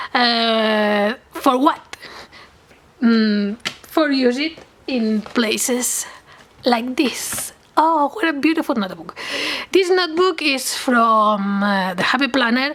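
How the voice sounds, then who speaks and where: Over noticeable background noise, a woman talks very slowly in a high voice with lively intonation. Long pauses come often. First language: Catalan or Spanish. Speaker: crafting YouTuber. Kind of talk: product demo tutorial. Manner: halting, hesitant.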